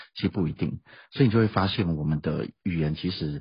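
A man's very deep, low, somewhat breathy voice with ordinary pitch variation at a fairly quick pace. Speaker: school principal and language teacher. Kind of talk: interview.

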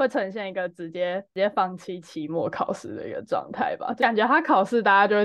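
A woman speaks at a moderate pace and medium pitch with a Taiwanese accent. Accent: Taiwanese Mandarin. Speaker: startup founder. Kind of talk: casual chat.

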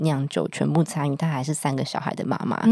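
Here is a woman speaking. She moves at a fairly quick pace. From Taiwan. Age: 30s. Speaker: wine importer and entrepreneur. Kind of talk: casual interview chat. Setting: studio, drinking wine while recording.

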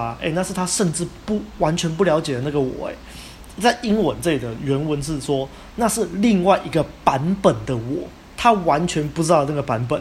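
A man talks at a fairly quick pace with lively intonation. There is noticeable background noise. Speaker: podcast host. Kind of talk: casual chat.

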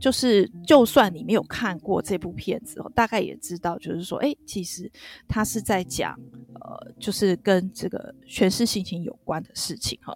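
At a moderate pace, a woman speaks with lively intonation and a medium pitch. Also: big swings in loudness. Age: middle-aged. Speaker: podcast co-host. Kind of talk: casual drama review chat. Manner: hesitant, many fillers.

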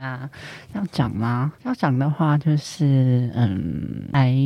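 A man speaks with a Cantonese accent and a dark, mellow tone. His medium pitch comes through in a dry, close sound with no echo. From Hong Kong. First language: Cantonese (speaking Chinese). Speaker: university student. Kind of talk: casual chat.

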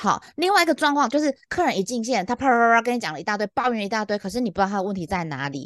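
Against a quiet background, a woman talks very fast in an animated tone at a medium pitch, her pitch swinging very widely. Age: middle-aged. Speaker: podcast co-host, customer service veteran. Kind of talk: casual chat.

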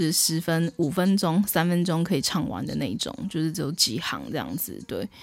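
Against music in the background, a woman with a fairly low pitch and lively intonation speaks at a moderate pace with hardly any pauses. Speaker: podcast host, music commentator. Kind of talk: casual music commentary. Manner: hesitant with many fillers.

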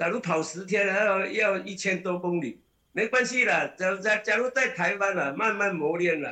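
A man's high-pitched, raised and projected voice, bright and sharp in tone, at a moderate pace with ordinary pitch variation. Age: 60s. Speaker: ultramarathon runner. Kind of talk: casual interview. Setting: video call.

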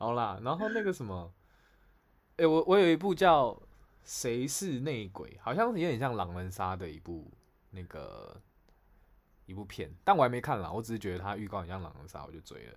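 On a very clean recording with a silent background, a man speaks at a moderate pace and medium pitch, with vocal fry, very wide pitch swings, big swings in loudness, and long, frequent pauses. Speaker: podcast co-host. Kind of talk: casual chat. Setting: live stream over call.

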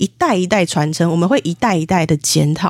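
On a very clean recording with a silent background, a woman talks at a moderate pace with a dry, close sound and no echo. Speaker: spiritual medium and author. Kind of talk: interview.

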